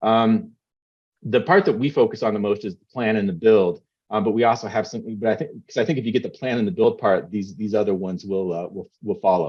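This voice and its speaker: The man speaks fairly quickly, and his volume makes big swings between loud and soft. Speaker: founder of a public engagement software company. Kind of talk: conference presentation. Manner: fast.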